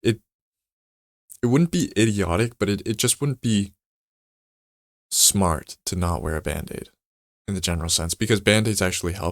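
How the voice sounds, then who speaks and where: Recorded very cleanly against a silent background, a man's voice has a dry, close sound with no echo. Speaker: vlogger. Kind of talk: casual monologue vlog. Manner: stutters, repeats words; rambling with tangents.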